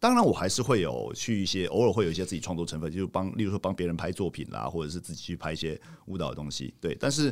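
A man with a very deep, low voice and vocal fry talks at a very fast pace with lively intonation and hardly any pauses. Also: very clean recording, silent background. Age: 40s. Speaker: street dance photographer and critic. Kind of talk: casual chat.

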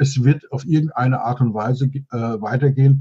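Somewhat breathy and monotone, a man's medium-pitched voice has a dark, mellow tone. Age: 60s. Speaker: business mentor and consultant. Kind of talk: interview.

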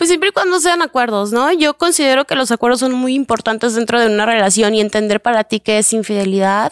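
Speaking very fast with hardly any pauses, a woman keeps a very even loudness and a fairly high pitch while her intonation stays lively. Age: 20s. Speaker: sex education entrepreneur. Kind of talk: interview testimony.

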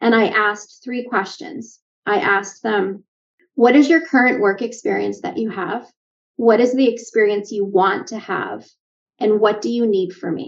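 A woman with a Canadian accent talks in a normal speaking voice at a moderate pace. Her pitch is fairly high, with ordinary pitch variation. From Canada. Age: 50s. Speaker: leadership coach and nurse. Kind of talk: casual interview.

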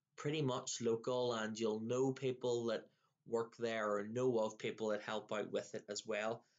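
A man with a Northern Irish accent and a monotone, flat intonation. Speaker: podcast host. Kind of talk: casual interview.

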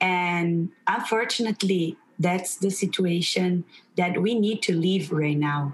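A woman speaks fairly slowly in a Portuguese accent, her voice somewhat breathy. Her pitch is medium with ordinary variation. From Brazil. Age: young. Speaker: teacher. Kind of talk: interview.

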